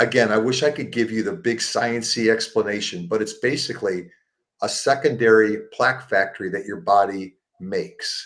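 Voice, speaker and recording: A normal speaking voice, delivered at a moderate pace with ordinary pitch variation. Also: man, medium pitch for a man. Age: 60s. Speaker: plant-based support group founder. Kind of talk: interview. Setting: live show.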